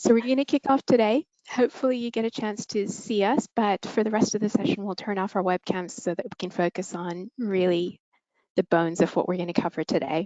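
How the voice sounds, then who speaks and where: At a fairly quick pace, a woman talks in an ordinary speaking voice of medium pitch with ordinary pitch variation. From Canada. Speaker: software product manager. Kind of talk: webinar presentation.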